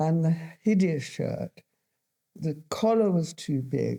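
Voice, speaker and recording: In a very clean recording with a silent background, a woman with a southern English accent speaks at a fairly slow pace, her very deep, low pitch and dark, mellow tone carried by lively intonation. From London, England. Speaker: fashion designer. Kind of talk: interview. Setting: school studio.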